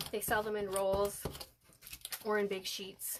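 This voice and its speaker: Over noticeable background noise, a woman at medium pitch speaks at a fairly slow pace. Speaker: crafting tutorial presenter. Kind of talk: live-stream tutorial. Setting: Facebook live stream at home desk. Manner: casual, with filler words.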